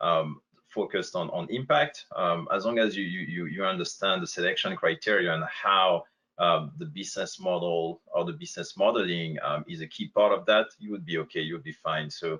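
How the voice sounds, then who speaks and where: A man with a strong French accent, at a moderate pace. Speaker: company representative on a panel. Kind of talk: webinar Q&A panel. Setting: online webinar. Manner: halting, many fillers.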